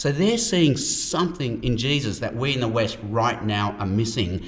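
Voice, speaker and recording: With an Australian accent and ordinary pitch variation, a man speaks amid noticeable background noise and audible room echo. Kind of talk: conversational Q&A discussion.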